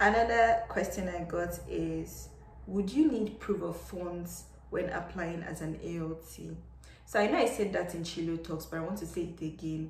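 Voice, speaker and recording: Audible room echo is present. A woman speaks at a moderate pace. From Nigeria. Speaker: English teacher and vlogger; English teacher, vlogger. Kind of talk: casual advice vlog. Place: home room. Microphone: phone near.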